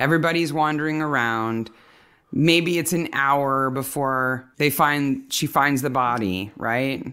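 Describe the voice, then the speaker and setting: In a very clean recording with a silent background, a woman with a General American accent speaks fairly slowly in a very deep, low pitch, with a bright, sharp tone and ordinary pitch variation. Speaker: podcast co-host. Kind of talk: casual chat.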